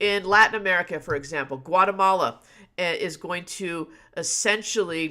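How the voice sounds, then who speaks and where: Over a silent background in a very clean recording, a woman speaks fairly slowly at a medium pitch with ordinary pitch variation. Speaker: history teacher. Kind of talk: live exam review lecture. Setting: live stream. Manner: off the cuff, with fillers.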